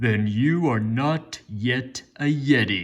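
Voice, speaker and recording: A gruff put-on character voice from a man, medium in pitch, very slow, with lively intonation. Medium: read story. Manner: gruff, yowling.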